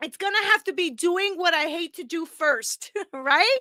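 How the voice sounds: Dry and close with no echo, the voice has a bright, sharp tone and lively intonation. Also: woman.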